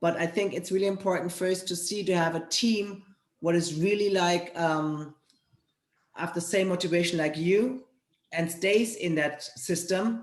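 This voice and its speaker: A woman with a German accent talks at a fairly slow pace, her fairly low pitch held to a fairly even intonation. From Germany. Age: 40s. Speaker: fitness trainer and network marketer. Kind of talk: interview.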